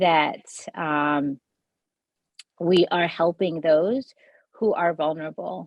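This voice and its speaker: A woman with a non-native accent and fairly even intonation. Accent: noticeable accent, immigrant. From US childhood, then India from age 15. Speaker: state legislator. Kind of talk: award acceptance speech. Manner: hesitant, many fillers.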